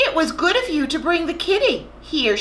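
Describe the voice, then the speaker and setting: A woman uses a put-on character voice, squeaky and at an extremely high pitch. She speaks at a moderate pace over clear background noise. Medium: read story. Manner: warm, practical.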